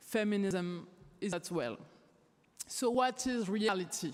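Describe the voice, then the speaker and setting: Very slow and in a French accent, a woman speaks at a medium pitch. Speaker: theater director and activist. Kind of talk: closing statement speech. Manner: impassioned.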